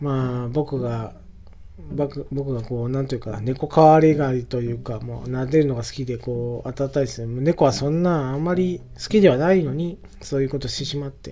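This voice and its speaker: A man with a dark, mellow tone speaks at a medium pitch and a moderate pace, his pitch variation ordinary. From Japan, northern Oita (Yabakei). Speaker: podcaster. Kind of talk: casual solo monologue. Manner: halting, many fillers.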